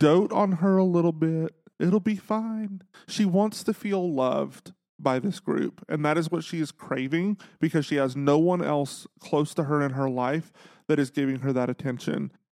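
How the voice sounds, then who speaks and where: A man at a moderate pace with ordinary pitch variation, dry, close sound with no echo and a quiet background. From Texas. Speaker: podcast host. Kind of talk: casual chat. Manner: humorous, sarcastic.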